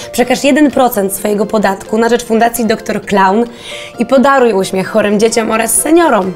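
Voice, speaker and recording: Over light background noise, a woman talks at a moderate pace with a fairly high pitch. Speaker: actress. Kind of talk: TV commercial read. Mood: warm, smiling, gentle.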